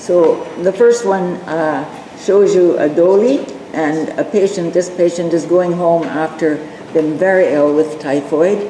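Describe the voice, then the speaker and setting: A woman's fairly low-pitched voice at a very slow pace, with audible room echo and noticeable background noise. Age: 80s+. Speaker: volunteer missionary health worker in Nepal. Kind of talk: presentation with slides. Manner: halting, many fillers; reading from notes.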